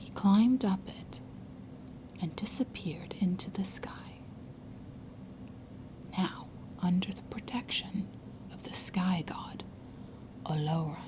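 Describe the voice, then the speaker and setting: A woman whispers in a soothing tone at a very slow pace, with long, frequent pauses and big swings in loudness. Noticeable background noise sits behind her. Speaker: ASMR storyteller. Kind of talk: ASMR storytelling, soothing story time reading. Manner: soothing, soft.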